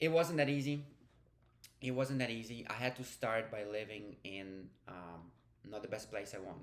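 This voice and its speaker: This man, with a non-native accent and medium pitch, talks at a moderate pace with ordinary pitch variation, long and frequent pauses, and big swings in loudness, while audible room echo fills the recording. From Ukraine, then Hungary. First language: Ukrainian. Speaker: vlogger. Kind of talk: personal vlog storytelling. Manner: casual, with fillers and self-corrections.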